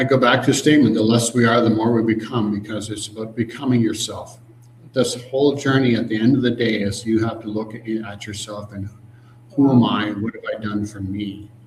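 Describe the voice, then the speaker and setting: Over audible room echo, a man with a Canadian accent talks fairly quickly at a medium pitch. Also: fairly even intonation. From Canada. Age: 60s. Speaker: emotional freedom coach. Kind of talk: interview.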